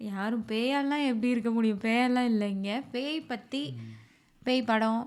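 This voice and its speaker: This woman has an ordinary speaking voice, fairly high in pitch, with fairly even intonation. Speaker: podcast host. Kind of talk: casual podcast conversation.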